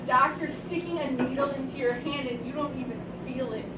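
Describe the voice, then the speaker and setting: Against noticeable background noise, a woman with a high-pitched voice speaks at a fairly quick pace. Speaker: slam poet. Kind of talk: poetry reading. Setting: live event.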